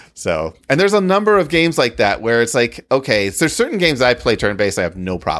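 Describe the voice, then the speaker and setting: Talking at a very fast pace, a man uses vocal fry and very wide pitch swings. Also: medium pitch for a man. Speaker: podcast co-host. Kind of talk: casual chat. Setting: online live recording with Discord audience. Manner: excitable.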